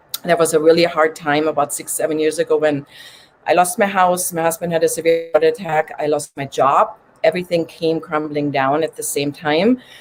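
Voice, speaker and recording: A woman with a slight German accent, fairly low in pitch, fairly quick in pace and fairly even in intonation. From Germany. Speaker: recovery coach and podcaster. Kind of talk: interview testimony.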